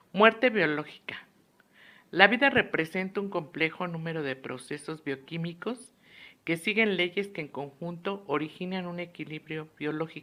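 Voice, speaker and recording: Against a silent background on a very clean recording, a woman speaks fairly slowly in a fairly low, bright, sharp voice, with ordinary pitch variation and big swings in loudness. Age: 60s. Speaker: psychologist and student. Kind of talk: lecture. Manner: formal.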